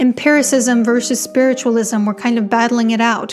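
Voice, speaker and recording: A woman with a non-native accent talks at a fairly quick pace in a high voice, with noticeable background noise behind her. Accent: non-native English, struggles with some words. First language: not English. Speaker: author and book video creator. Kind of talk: casual explainer video. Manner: conversational, frequent filler 'like'.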